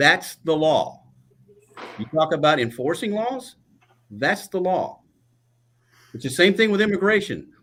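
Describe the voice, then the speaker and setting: A man speaks at a fairly slow pace with long, frequent pauses. His high voice swings very widely in pitch. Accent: Texan. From Texas Gulf Coast. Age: 60s. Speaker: political candidate. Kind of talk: candidate forum debate.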